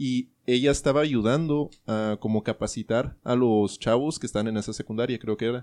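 A man speaks in a plain, everyday voice at a medium pitch, with fairly even intonation. His pace is moderate with hardly any pauses, over a quiet background. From US (Colorado and New Mexico). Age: 20s. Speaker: podcast host. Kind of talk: casual chat.

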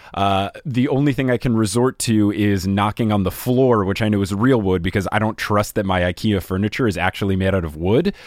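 An unremarkable speaking voice from a man, fairly low in pitch. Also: very clean recording, silent background. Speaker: podcast host and guest. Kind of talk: casual book discussion.

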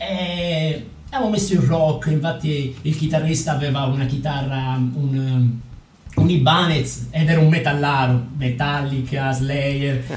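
Noticeable background noise and audible room echo surround this recording. A man with a fairly high pitch talks at a fairly slow pace with fairly even intonation. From Calabria, Villapiana (Ionian coast). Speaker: folk singer-songwriter and warehouse worker. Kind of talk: interview.

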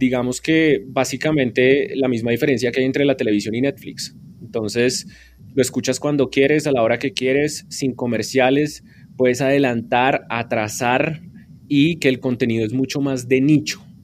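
Delivered at a moderate pace, it is a normal speaking voice with fairly even intonation. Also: man, medium pitch for a man. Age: 30s. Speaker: radio journalist and podcast teacher. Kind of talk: interview.

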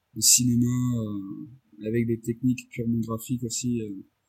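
The man speaks very slowly at a medium pitch, monotone and flat. His tone is dark, mellow and somewhat breathy. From Réunion. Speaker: motion designer and director. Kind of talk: interview. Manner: hesitant, many fillers and repetitions.

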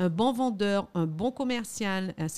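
Very slowly, a woman speaks at a medium pitch with lively intonation in a very clean recording with a silent background. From Guadeloupe. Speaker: lawyer and lobbyist. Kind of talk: interview.

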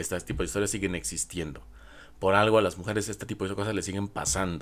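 Talking at a very fast pace, a man with a fairly low pitch shows vocal fry. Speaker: podcast host. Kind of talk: podcast monologue. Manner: halting, with frequent repetitions.

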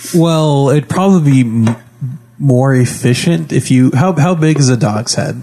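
Over noticeable background noise, a man talks at a fairly slow pace in a fairly high pitch, with ordinary pitch variation and very even loudness. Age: young. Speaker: podcast host and role-playing game player. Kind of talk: casual chat while playing tabletop game.

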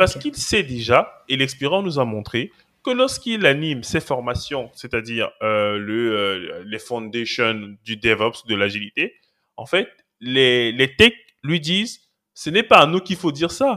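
Lively intonation and a bright, sharp tone mark this man's medium-pitched voice as he speaks at a fairly slow pace. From Cameroon. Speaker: cloud and DevOps engineer, trainer. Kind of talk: podcast interview.

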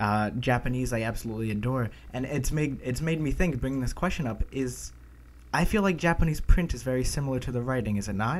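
A man speaks very fast with an American accent, his pitch medium and its variation ordinary. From United States. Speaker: language-learning podcast co-host. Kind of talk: casual chat. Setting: remote call recording.

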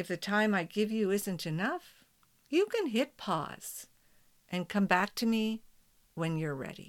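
A woman speaks in a gentle, calm tone at a medium pitch, with lively intonation. She leaves long, frequent pauses. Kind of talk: guided meditation. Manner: slow, calm, soothing, with long pauses; gentle, prayerful, soft-spoken.

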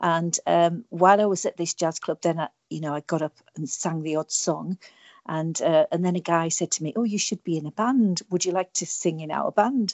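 A woman speaks in a British accent. Her pitch is fairly low. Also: ordinary pitch variation, moderate pace. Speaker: singer songwriter. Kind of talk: radio interview, casual chat. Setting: remote interview link.

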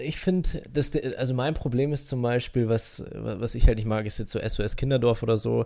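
This man has a normal speaking voice, medium in pitch, moving at a moderate pace with ordinary pitch variation. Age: 20s. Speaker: podcast co-host. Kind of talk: casual chat.

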